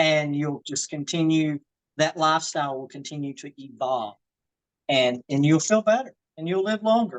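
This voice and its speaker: In a Southern US accent, a woman speaks at a moderate pace with a very deep, low pitch and lively intonation. The sound is dry and close, with no echo. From US South, Georgia. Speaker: fitness and wellness coach. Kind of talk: live online workshop. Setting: video call, outdoors in her garden.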